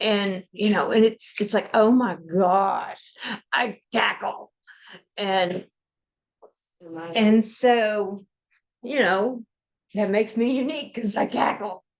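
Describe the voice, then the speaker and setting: A woman speaks at a very slow pace, her voice fairly high. She leaves long pauses, and often. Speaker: podcast co-host. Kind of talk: casual chat. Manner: loud; animated.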